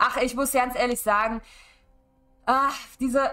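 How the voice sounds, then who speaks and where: Faint music sits in the background. Over it, a woman speaks at a moderate pace. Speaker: streamer. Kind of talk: casual streaming talk. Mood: opinionated, mildly annoyed. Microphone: headset.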